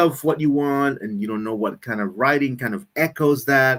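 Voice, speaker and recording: A man speaks at a moderate pace with a non-native accent. His voice sits at a medium pitch, and his intonation is lively. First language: not English. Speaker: live stream co-host. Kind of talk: casual chat. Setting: live stream.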